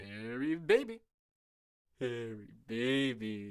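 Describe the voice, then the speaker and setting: The speaker uses a put-on character voice. It sits at a low-to-middle pitch. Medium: fan dub.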